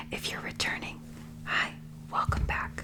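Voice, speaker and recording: A whisper comes through with noticeable background noise behind it. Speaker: ASMR mukbang creator. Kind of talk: ASMR food review talk to camera. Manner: whispered, soft-spoken.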